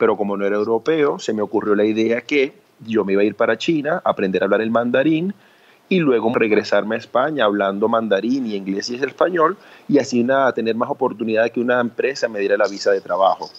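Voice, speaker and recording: Talking at a very fast pace, a man keeps his pitch medium. The variation in his pitch is ordinary. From Venezuela, Cumaná. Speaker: entrepreneur and speaker. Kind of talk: interview.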